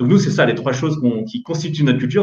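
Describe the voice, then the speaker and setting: The man's voice comes across as somewhat breathy. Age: 30s. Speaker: startup co-founder and CEO. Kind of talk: interview.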